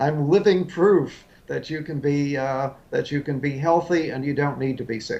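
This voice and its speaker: Noticeable background noise accompanies a man speaking at a moderate pace. His pitch is fairly high, with ordinary variation. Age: 70s. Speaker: health author. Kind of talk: interview. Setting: remote live link. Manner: hesitant, many fillers.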